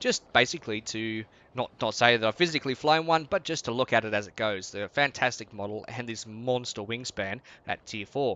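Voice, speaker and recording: This man speaks with an Australian accent at a fairly quick pace. His pitch is medium, with ordinary variation. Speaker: gaming YouTuber. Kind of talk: game commentary. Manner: casual.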